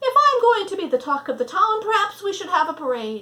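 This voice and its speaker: A woman does a put-on character voice, squeaky and pitched extremely high, with very wide pitch swings. She moves along at a fairly quick pace. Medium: read story. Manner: pompous.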